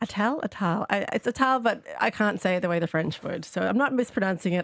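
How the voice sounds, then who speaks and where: With an Australian accent, a woman talks at a very fast pace. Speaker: newspaper columnist. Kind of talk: radio panel discussion.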